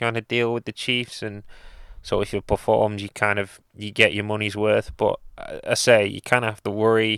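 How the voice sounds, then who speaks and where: This man speaks with a British accent in a monotone, flat intonation, his tone bright and sharp, the sound dry and close with no echo. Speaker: podcast co-host. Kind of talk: casual chat.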